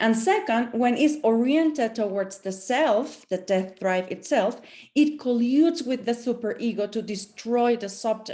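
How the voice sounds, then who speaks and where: With a non-native accent, a woman speaks at a fairly high pitch in a dark, mellow tone, using ordinary pitch variation and hardly any pauses. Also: fairly slow pace. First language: not English. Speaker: professor. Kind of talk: panel presentation. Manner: halting.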